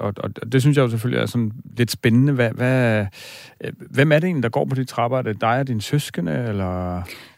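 A man's ordinary speaking voice, medium-pitched, with lively intonation and a fairly quick pace, on a very clean recording with a silent background. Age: 40s. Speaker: dream expert, radio host. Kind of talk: radio talk show, dream interpretation. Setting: radio studio.

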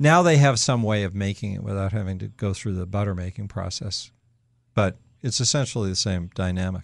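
With a quiet background, a man in an unremarkable speaking voice talks at a fairly quick pace, fairly low in pitch with ordinary pitch variation. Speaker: radio talk show host. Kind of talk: call-in radio show. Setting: studio.

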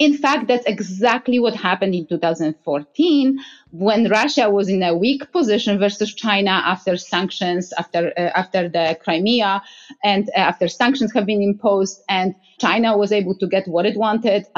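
In a Polish accent, a woman talks at a moderate pace and medium pitch, with ordinary pitch variation and very even loudness. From Poland. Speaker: energy security expert. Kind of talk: interview conversation. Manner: hesitant, many fillers.

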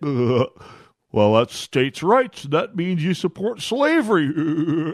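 In a put-on character voice, a man speaks at a very slow pace and a high pitch. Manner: mocking.

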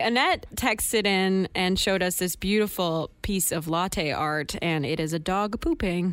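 In a very clean recording with a silent background, a woman speaks fairly slowly in a normal speaking voice, with ordinary pitch variation, very even loudness and hardly any pauses. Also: medium pitch for a woman. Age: young. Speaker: radio host. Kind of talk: casual chat.

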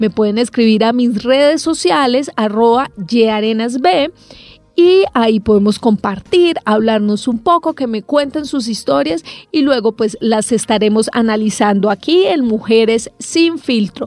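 Music plays in the background as a woman talks at a fairly slow pace. Her fairly high voice has lively intonation. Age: 30s. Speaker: podcast host. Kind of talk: personal monologue podcast.

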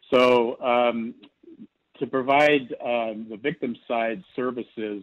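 This is a man's voice. He talks at a very slow pace. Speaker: nonprofit chairman. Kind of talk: interview.

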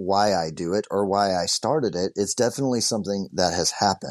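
A man with a Texan accent and a fairly low voice, fairly quick, dry and close with no echo, over a quiet background. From Southeast Texas. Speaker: produce farmer and social media creator. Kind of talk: interview.

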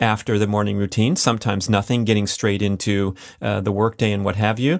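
A man speaks with a plain, everyday voice, fairly low-pitched and fairly even in intonation. The recording is very clean, with a silent background. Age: 50s. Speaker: podcast host. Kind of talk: solo monologue.

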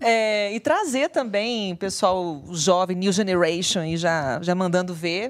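With hardly any pauses, a woman talks at a very slow pace and medium pitch with lively intonation, over noticeable background noise. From moved around Brazil (Maranhão, Pará, Brasília, Vitória). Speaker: podcast co-host. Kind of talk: casual chat.

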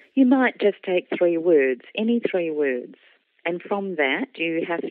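A woman with an Australian accent talks in a fairly low voice with lively intonation. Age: 60s. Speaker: children's author. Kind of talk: interview.

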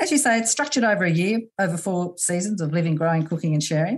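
In an Australian accent, a woman speaks at a very fast pace with lively intonation. Her fairly low voice is somewhat breathy. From Australia, New South Wales. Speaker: podcast host. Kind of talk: interview conversation.

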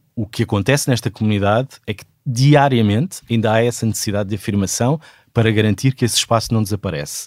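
A man talks at a very fast pace with ordinary pitch variation. The sound is dry and close, with no echo. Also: medium pitch for a man, very clean recording, silent background. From Portugal, Sesimbra south of Lisbon. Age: 40s. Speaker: theatre director. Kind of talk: interview.

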